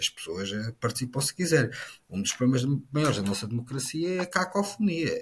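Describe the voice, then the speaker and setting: A man talks at a fairly quick pace in a somewhat breathy voice. His pitch is fairly high and swings very widely. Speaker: politician. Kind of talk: political discussion.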